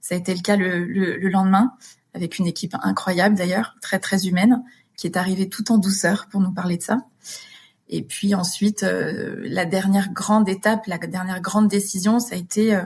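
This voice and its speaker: Somewhat breathy, a woman speaks at a moderate pace in a medium pitch with fairly even intonation. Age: 30s. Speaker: widow. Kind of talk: interview answer. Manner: hesitant, emotional.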